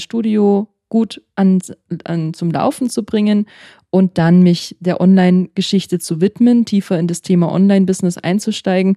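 At a fairly slow pace, a woman talks in a medium pitch with a dark, mellow tone, on a very clean recording with a silent background and a dry, close sound with no echo. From German-speaking country. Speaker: yoga teacher. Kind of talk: casual chat.

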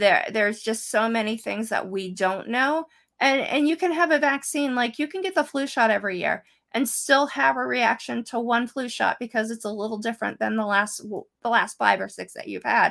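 A woman with an American accent talks at a moderate pace in a normal speaking voice, fairly high in pitch and with lively intonation. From central Pennsylvania. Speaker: political candidate. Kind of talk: panel Q&A. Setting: video call.

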